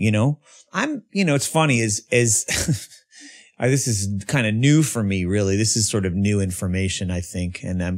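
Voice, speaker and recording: On a very clean recording with a silent background, a man speaks at a moderate pace and a fairly low pitch, with ordinary pitch variation. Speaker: guest sharing recovery story. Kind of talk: casual chat. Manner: loud; animated.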